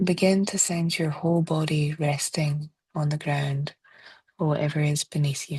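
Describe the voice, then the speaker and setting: This woman speaks with a Scottish accent in a very deep, low pitch, her dark, mellow tone somewhat breathy and her intonation monotone and flat. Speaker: therapist; meditation guide. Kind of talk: guided body scan meditation. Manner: slow, soft-spoken.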